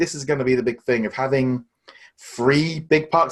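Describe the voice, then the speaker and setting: With an English accent, a man talks at a fairly high pitch with ordinary pitch variation. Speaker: podcast co-host. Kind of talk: casual chat.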